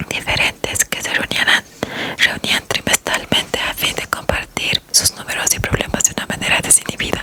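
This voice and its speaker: Noticeable background noise sits behind a woman's whisper, delivered at a moderate pace. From Latin America. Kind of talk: ASMR audiobook reading. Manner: whispered, soft-spoken.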